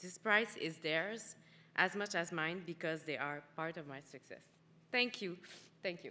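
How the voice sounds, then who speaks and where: A woman with a Quebec accent speaks at a fairly slow pace, with long, frequent pauses. Her voice has a fairly low pitch, ordinary pitch variation and a bright, sharp tone. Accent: Québécois French. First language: French. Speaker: award winner, cosmetics manager. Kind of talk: acceptance speech.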